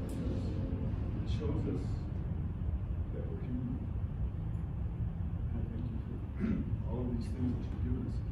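Loud background noise and audible room echo surround a man speaking at a moderate pace. He leaves long, frequent pauses. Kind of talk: blessing speech. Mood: solemn, grateful. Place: hall. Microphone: camera far.

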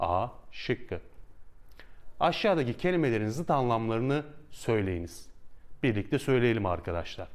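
A man speaks at a medium pitch. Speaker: Turkish language teacher. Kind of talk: tutorial. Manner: clear, slow, repeats phrases for learners.

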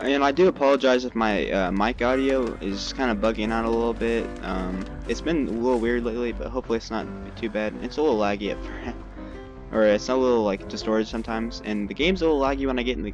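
Over clear background music, a man talks at a very fast pace in a dry sound with no echo. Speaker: gamer commentator. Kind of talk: casual gameplay commentary. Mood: light, self-deprecating.

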